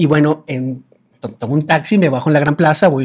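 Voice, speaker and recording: Speaking at a fairly quick pace in a Venezuelan accent, a man uses a fairly high, somewhat breathy voice with fairly even intonation. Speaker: business coach. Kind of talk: casual chat.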